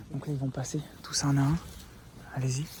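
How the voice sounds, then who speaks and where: A soft-spoken voice goes at a moderate pace over noticeable background noise. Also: man. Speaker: urban explorer vlogger. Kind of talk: live vlog narration. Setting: outdoors at night, abandoned site. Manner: hesitant.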